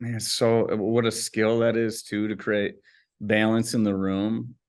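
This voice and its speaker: In an American accent, a man with a medium pitch speaks in a calm tone with monotone, flat intonation. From US Midwest, West Michigan (Grand Rapids). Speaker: business coach and consultant. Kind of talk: casual interview conversation. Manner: calm, chill.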